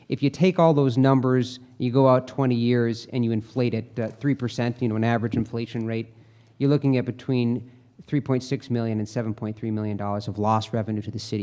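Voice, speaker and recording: Fairly even in intonation, a man with a dark, mellow tone speaks at a very fast pace. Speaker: economic consultant. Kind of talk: formal presentation.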